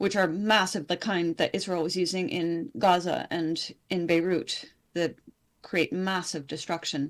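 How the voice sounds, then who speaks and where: A woman with a plain, everyday voice speaks fairly slowly at a fairly low pitch. Her pitch variation is ordinary, and the recording is very clean with a silent background. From Canada. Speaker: independent journalist. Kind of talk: interview conversation.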